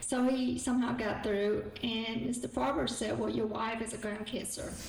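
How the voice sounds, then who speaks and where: A woman with a Southern US accent and a fairly high pitch talks at a moderate pace with fairly even intonation. Noticeable background noise and audible room echo are present. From South Vietnam. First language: Vietnamese. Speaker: guest speaker and author. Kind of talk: public talk.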